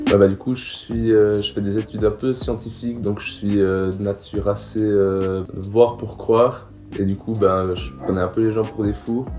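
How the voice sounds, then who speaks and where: A man speaks fairly slowly in a fairly low voice, his intonation fairly even. Music runs in the background. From Switzerland, canton of Neuchâtel. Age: 20s. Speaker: student, youth group leader. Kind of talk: testimony. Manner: halting, many fillers.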